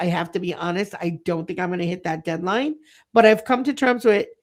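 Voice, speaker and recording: On a very clean recording with a silent background, an ordinary speaking voice shows ordinary pitch variation. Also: woman. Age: 50s. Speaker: early childhood center owner and leadership coach. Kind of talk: podcast interview.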